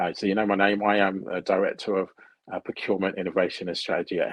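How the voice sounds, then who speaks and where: A man with a British accent at a very fast pace, dry and close with no echo. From United Kingdom. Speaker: procurement consultant. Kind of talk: interview.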